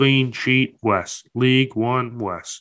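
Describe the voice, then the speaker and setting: This man has an American accent and a medium pitch. His intonation stays fairly even. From United States. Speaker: football podcast co-host. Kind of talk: casual chat.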